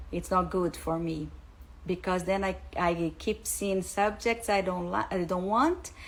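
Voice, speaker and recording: Here a woman speaks with a Portuguese accent. She keeps a fairly slow pace. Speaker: English teacher, school founder. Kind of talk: live stream talk. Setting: Instagram live. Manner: halting, with fillers.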